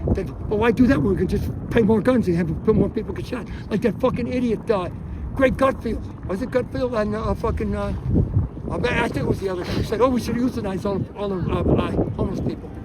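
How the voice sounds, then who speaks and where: A man's high-pitched, animated voice at a very fast pace, with ordinary pitch variation, audible room echo and noticeable background noise. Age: 70s. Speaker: protester. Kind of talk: casual chat.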